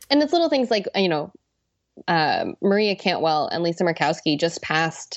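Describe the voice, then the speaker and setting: An unremarkable speaking voice with an American accent at a moderate pace. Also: woman. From US Pacific Northwest. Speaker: ocean policy fellow. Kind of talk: interview.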